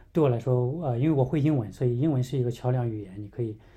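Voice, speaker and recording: Speaking at a very fast pace, a man has a medium pitch, ordinary pitch variation and a dark, mellow, somewhat breathy tone. The recording is very clean, with a silent background. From mainland China. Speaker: missions mobilizer. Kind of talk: casual interview. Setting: in person in the same room.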